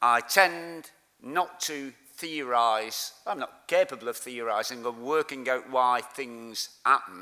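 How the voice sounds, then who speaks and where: A man speaks in a Lancashire accent. His pace is very slow, with ordinary pitch variation. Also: medium pitch for a man. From Lancashire, northern England. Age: 60s. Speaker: community activist. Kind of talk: conference speech.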